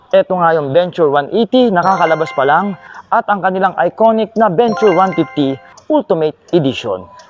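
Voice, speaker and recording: Over music in the background, a man speaks fairly quickly in a high pitch with lively intonation, the sound dry and close with no echo. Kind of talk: product review.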